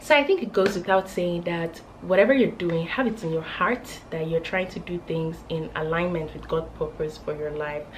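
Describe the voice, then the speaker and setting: Over noticeable background noise, a woman talks with lively intonation. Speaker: lifestyle vlogger. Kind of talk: casual chat. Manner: animated.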